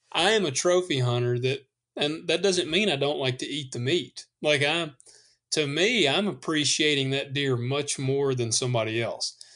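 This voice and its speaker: Speaking with a Southern US accent, a man uses a fairly high pitch and a bright, sharp tone. His pace is moderate, with ordinary pitch variation. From US South. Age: 30s. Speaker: podcast host and hunter. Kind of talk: casual chat.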